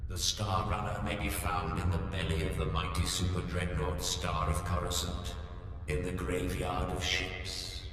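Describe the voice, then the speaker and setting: In a put-on character voice, a man speaks at a moderate pace with a very deep, low pitch, under strong echo and loud background noise. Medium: machinima. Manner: grandiose, formal.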